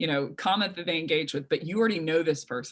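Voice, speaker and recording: Her voice is a woman's, very deep and low in pitch. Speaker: sales trainer and company founder. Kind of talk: webinar presentation. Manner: fast.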